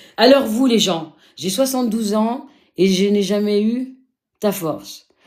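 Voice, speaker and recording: This woman has a medium pitch and ordinary pitch variation. Her tone is animated and her pace fairly slow. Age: 50s. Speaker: live streamer sharing life story. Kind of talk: live stream talk to viewers.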